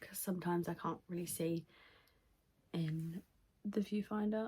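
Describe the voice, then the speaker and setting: A woman with a British accent speaks at a moderate pace in a somewhat breathy, fairly low voice, her tone dark and mellow and her intonation fairly even. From UK. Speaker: beauty vlogger. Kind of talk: makeup tutorial. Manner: casual, filler-heavy. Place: home room. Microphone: phone near.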